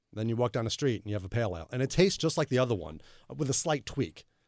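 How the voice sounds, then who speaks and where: Delivered at a very fast pace in a Long Island accent, the lively intonation comes through on a very clean recording with a silent background. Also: man. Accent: New York, Long Island. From Long Island, New York. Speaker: beer website creator. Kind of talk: interview.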